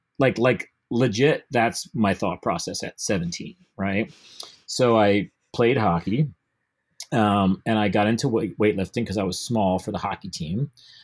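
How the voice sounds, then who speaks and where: A man with a plain, everyday voice speaks at a fairly slow pace and a fairly low pitch, with ordinary pitch variation, in a dry, close sound with no echo. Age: 50s. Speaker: gym owner and coach. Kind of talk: casual interview chat. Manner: casual, filler-heavy.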